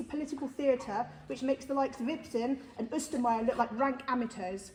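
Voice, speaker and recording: Noticeable background noise sits behind a woman speaking loudly. Her pitch is high and her pace fairly quick. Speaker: parent campaigner giving public statement. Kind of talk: public statement at council meeting. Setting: council meeting. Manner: forceful.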